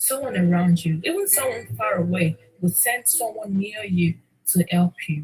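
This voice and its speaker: Her pitch swings very widely around a medium level. The woman's voice is somewhat breathy, at a moderate pace, with a dry, close sound and no echo. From Nigeria. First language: Nigerian language (mother tongue). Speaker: podcaster / livestreamer. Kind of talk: motivational talk. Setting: livestream. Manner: repetitive, emphatic.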